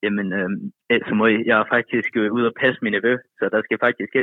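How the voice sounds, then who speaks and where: This man has a medium-pitched voice. His intonation is monotone and flat. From Thyborøn, western Jutland, Denmark. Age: 20s. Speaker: caller. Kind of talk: casual chat.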